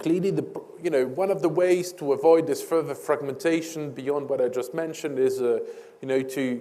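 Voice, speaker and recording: A moderate pace and fairly even intonation over noticeable background noise. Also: man, fairly high pitch for a man. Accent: French. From France. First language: French. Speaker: energy policy expert. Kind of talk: panel discussion. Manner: halting, many fillers.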